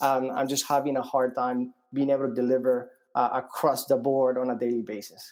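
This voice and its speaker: This man talks at a fairly quick pace in a medium pitch, with monotone, flat intonation. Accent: Colombian. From Colombia. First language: Spanish. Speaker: startup founder. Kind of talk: interview. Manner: halting, many fillers and repeats.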